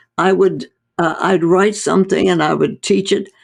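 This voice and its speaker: Over a quiet background, a woman with vocal fry speaks at a fairly slow pace and medium pitch. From North India. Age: 80s+. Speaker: doctor. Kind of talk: interview conversation.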